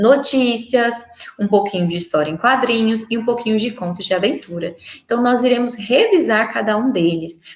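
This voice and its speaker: Noticeable background noise sits behind a woman's voice. She speaks with a fairly high pitch and lively intonation. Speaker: schoolteacher. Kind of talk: recorded online lesson. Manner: fast.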